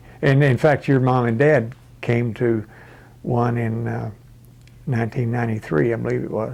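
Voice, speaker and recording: With an American accent, a man speaks at a moderate pace and medium pitch. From Texas. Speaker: interviewee, family elder. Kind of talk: oral history interview. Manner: halting, with many fillers.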